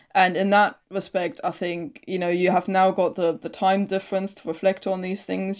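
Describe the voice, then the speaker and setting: In a very clean recording with a silent background, a woman with a German accent talks at medium pitch and a moderate pace. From East Germany. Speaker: historian. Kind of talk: interview.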